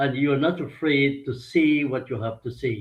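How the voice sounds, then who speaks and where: This man's voice is somewhat breathy, and his intonation stays fairly even. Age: 70s. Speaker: political commentator. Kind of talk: talk show interview.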